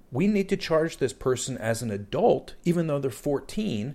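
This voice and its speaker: A man's fairly high voice with very wide pitch swings, vocal fry, a dark, mellow tone and a moderate pace. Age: 50s. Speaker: podcast host. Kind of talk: casual discussion podcast.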